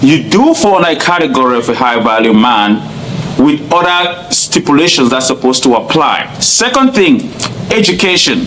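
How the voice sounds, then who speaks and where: A man with a Cameroonian accent speaks at a high pitch, his voice swinging very widely. Noticeable background noise runs underneath. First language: not English. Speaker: nurse practitioner. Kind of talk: interview. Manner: loud.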